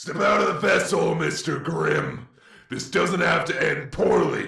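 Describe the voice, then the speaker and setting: A man puts on a raspy character voice at a fairly slow pace. An echo is audible. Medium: audio drama. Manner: cold, threatening.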